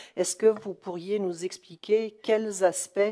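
The background stays quiet. The voice has a dark, mellow tone. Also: woman. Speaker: municipal councillor. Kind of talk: council meeting question. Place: hall. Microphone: podium.

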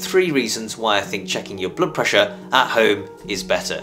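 Music plays clearly behind the speech. The speaker is a man. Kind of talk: health explainer to camera. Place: home room.

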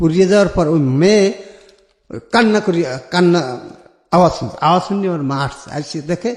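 High-pitched for a man, his voice moves with lively intonation. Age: 50s. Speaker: caller sharing life story. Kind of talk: life story testimony. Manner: halting.

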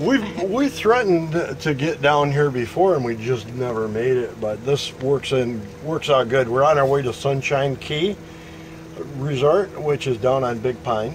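Light background noise sits behind the voice. A man delivers his words at a moderate speed. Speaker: RV travel vlogger. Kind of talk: casual vlog chat. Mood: cheerful, relaxed, social. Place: home room. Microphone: phone near.

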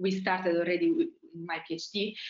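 Pitch barely moves. The pace is fairly quick. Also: woman, fairly low pitch for a woman.

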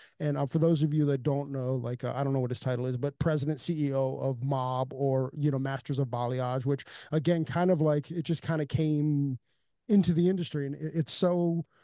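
Against a quiet background, a man with a dark, mellow tone talks at a moderate pace with fairly even intonation, the sound dry with no echo. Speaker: podcast host. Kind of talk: podcast intro chat. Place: studio. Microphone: studio mic.

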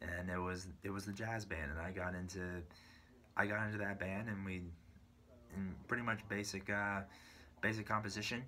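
With an American accent, a man of fairly low pitch speaks at a moderate pace in a bright, sharp tone with fairly even intonation. Long, frequent pauses break up his speech over light background noise. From US West Coast, San Bruno, California. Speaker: drummer and YouTuber. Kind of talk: personal story monologue. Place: home room. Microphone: phone near.

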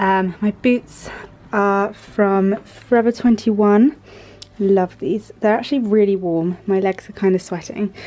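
A woman speaks at a medium pitch and a fairly slow pace. Her tone is slightly mellow, with ordinary pitch variation.

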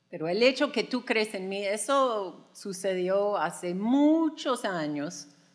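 With an American accent, a woman speaks at a medium pitch with lively intonation. The background is quiet. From United States. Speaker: podcast co-host. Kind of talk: live podcast talk. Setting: studio with live audience. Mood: warm, reflective. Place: stage. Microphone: studio mic.

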